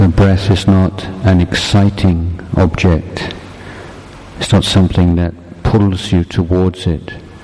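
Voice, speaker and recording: Noticeable background noise sits behind a man speaking very slowly in a very deep, low voice with a calm tone. His loudness stays very even and his intonation is monotone and flat. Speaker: meditation teacher. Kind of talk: guided meditation. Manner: slow, calm, measured; soft-spoken, instructive, with pauses.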